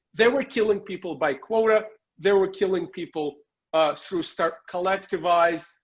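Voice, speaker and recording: This man has a Russian accent and a high pitch. He talks at a moderate pace with ordinary pitch variation. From Soviet Union. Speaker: political commentator and journalist. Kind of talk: interview.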